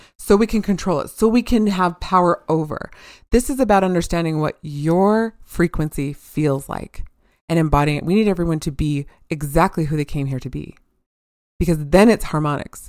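On a very clean recording with a silent background, a woman speaks at a moderate pace and a fairly low pitch. Her intonation is lively, in an unremarkable speaking voice. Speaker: intuitive healer. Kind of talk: casual podcast conversation.

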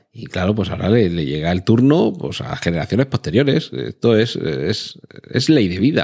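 A man's fairly low voice with vocal fry, very wide pitch swings and a moderate pace. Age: 40s. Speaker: podcast host. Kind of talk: solo podcast monologue.

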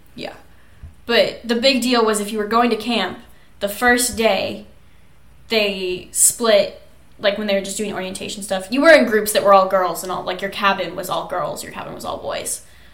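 With audible room echo and noticeable background noise, a woman of medium pitch talks at a moderate pace, her intonation fairly even and her loudness swinging widely. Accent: American. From Kansas, US Midwest. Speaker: podcast co-host. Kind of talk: casual chat.

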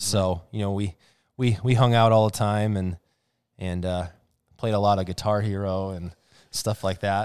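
A man with an Upper Midwest accent, fairly low in pitch, monotone and flat, at a moderate pace with long, frequent pauses. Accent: Upper Midwest American. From Wisconsin (Waukesha, Oshkosh). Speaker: podcast co-host. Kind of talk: casual chat.

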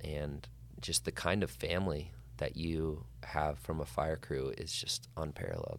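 A man with an American accent speaks at a fairly slow pace in a very deep, low pitch. His voice has vocal fry and ordinary pitch variation. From Montana (Flathead Valley). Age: 30s. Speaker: wildland firefighter and author. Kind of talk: casual interview chat.

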